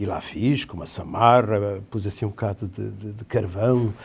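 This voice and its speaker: Here is a man with a dark, mellow tone and a somewhat breathy voice. He speaks at a fairly slow pace. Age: 60s. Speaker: theatre director and teacher. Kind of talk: interview on a talk show. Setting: studio. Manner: halting.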